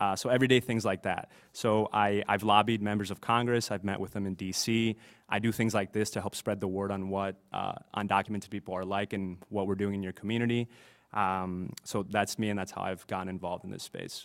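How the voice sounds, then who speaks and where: Here a man speaks at a fairly low pitch and a fairly quick pace. His intonation is monotone and flat. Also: very clean recording, silent background. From northwest Ohio, US (moved from Bolivia at nine). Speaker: immigrant advocate, panelist. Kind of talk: panel discussion. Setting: community center event with audience.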